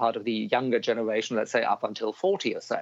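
Speaking fairly quickly with a German accent, a man keeps a medium pitch and fairly even intonation. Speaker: business chamber director. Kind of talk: interview. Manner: halting, many repeated words.

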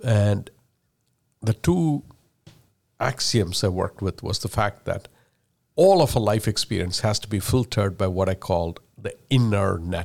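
With a Keralan accent, a man speaks at a fairly low pitch and fairly slow pace, with ordinary pitch variation and long, frequent pauses on a very clean recording with a silent background. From India. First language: Malayalam. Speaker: tech executive. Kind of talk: casual interview.

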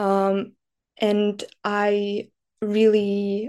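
A woman's dark, mellow voice with a Slovak accent and monotone, flat intonation over a quiet background. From Slovakia. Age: 20s. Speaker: student and disinformation NGO worker. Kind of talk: podcast interview. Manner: hesitant, many filler sounds.

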